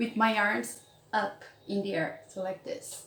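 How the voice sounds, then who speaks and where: A woman speaks with a Brazilian accent in a fairly high pitch. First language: Portuguese. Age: 30s. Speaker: English teacher and YouTuber. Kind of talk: casual vlog talk.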